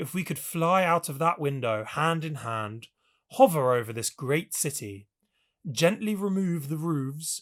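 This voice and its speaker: In a very clean recording with a silent background, a man with a British accent speaks at a fairly slow pace. His voice is fairly high-pitched and somewhat breathy, with very wide pitch swings. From England. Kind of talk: audiobook reading.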